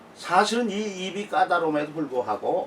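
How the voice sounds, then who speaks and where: With lively intonation and a high pitch, a man talks as noticeable background noise continues. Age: 70s. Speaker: missionary. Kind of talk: casual monologue / testimony. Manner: halting, frequent fillers.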